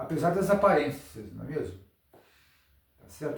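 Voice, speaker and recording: Audible room echo surrounds a man's voice. He speaks with ordinary pitch variation. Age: 70s. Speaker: astrologer. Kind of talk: improvised lecture. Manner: halting.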